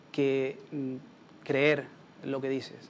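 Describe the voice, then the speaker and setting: The speaker is a man with a Canarian accent. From Canary Islands, Spain. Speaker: political campaign strategist. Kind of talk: Q&A after a talk.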